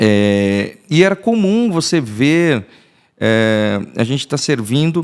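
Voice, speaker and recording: The pace is very slow, with very wide pitch swings. The recording is very clean, with a silent background. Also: man. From southern Brazil, Rio Grande do Sul, small town. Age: 40s. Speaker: pastor. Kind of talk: podcast interview. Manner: halting, many false starts.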